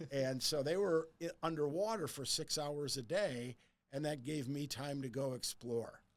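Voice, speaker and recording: A man with an American accent, fairly high in pitch, with ordinary pitch variation and a fairly slow pace. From US Midwest, suburb of Detroit, Michigan. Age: 60s. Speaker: real estate advisor. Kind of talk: interview conversation. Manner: animated, repeats words when starting sentences.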